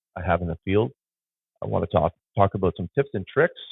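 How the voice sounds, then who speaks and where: A man with an Ontario accent and lively intonation. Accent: Canadian (Ontario). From Southwestern Ontario, Canada (Sarnia). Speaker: photographer and podcast host. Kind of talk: casual podcast monologue. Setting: home studio. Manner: hesitant, many fillers. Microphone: phone camera plus podcast mixer.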